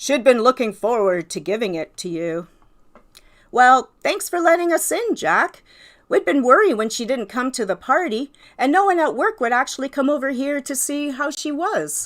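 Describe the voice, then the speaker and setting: A woman's put-on character voice, high in pitch with very wide pitch swings, at a moderate pace, in a very clean recording with a silent background. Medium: read story. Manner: smooth, confiding.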